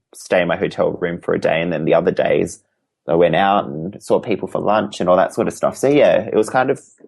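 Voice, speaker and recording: A man is speaking. He has an Australian accent. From Western Australia, Perth. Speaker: crochet artist. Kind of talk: casual interview chat. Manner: halting, many fillers.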